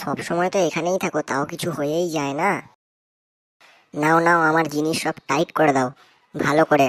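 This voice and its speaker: This is a cartoonish character voice. It sits at a middle pitch and a moderate pace. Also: very clean recording, silent background. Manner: whiny, quarrelsome.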